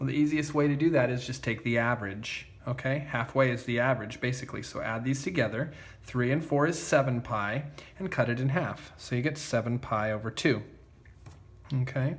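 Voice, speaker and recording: Somewhat breathy, a man speaks at a fairly quick pace with audible echo from the room. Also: medium pitch for a man, ordinary pitch variation. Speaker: math teacher. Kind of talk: tutorial. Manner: casual, many fillers like okay.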